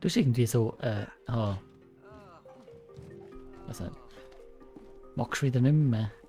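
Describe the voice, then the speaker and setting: Music plays in the background as a man talks at a medium pitch. His pace is fairly slow, with long, frequent pauses. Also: ordinary pitch variation. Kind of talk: casual gameplay commentary. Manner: excited.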